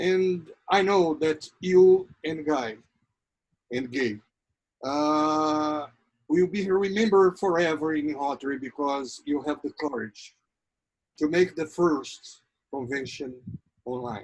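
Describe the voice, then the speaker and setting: A man with a northeastern Brazilian accent speaks in a fairly high voice with ordinary pitch variation. His pace is very slow, broken by long, frequent pauses. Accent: Brazilian (Ceará) accent in English. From Brazil, Ceará. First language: Portuguese. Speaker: Rotary program host. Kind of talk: interview introduction speech. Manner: halting.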